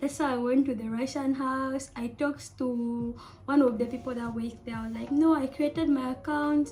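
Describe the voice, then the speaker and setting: Over noticeable background noise, a woman talks at a moderate pace with hardly any pauses. Her high voice is monotone and flat, with big swings in loudness. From Zambia. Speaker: student studying abroad. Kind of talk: casual storytime talk to camera.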